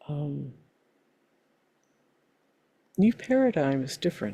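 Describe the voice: A woman's low, dark and mellow voice with a slightly husky edge, slow pace and big pitch swings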